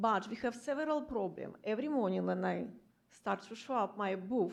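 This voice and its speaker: Vocal fry runs through this woman's medium-pitched voice, with ordinary pitch variation. Her loudness stays very even at a moderate pace. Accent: non-native. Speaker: street artist. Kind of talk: public comment statement at government meeting. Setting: public meeting room.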